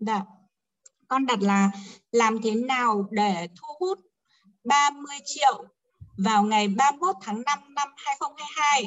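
A woman's high-pitched, very slow speech with lively intonation and long, frequent pauses. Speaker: course participant. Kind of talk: class Q&A sharing. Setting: online video class. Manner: halting, many fillers.

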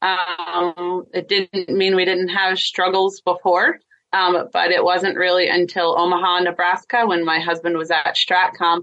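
A woman speaks with an American accent at a fairly slow pace. Her pitch is fairly low, and her loudness stays very even. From Pennsylvania, Lancaster. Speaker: Navy spouse and military family advocate. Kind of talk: interview testimony. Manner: halting, many fillers.

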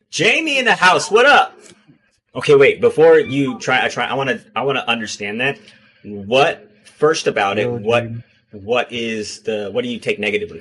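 At a moderate pace, a man with a medium pitch and a bright, sharp tone makes very wide pitch swings and big swings in loudness. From Hawaii. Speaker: show host. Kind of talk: casual chat, podcast discussion. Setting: video call.

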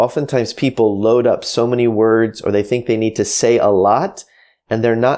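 At a moderate pace and with an American accent, this is an ordinary speaking voice. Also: man. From United States. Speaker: author and former pastor, marketing entrepreneur. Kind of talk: interview. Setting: home office, remote call.

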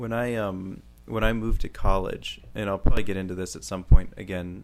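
The man talks at a fairly quick pace. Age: 20s. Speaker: podcast co-host. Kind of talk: casual chat.

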